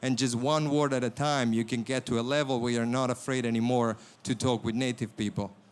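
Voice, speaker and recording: Speaking at a fairly quick pace with an Italian accent, a man is heard on a very clean recording with a silent background. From Italy. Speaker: startup founder. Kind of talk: pitch.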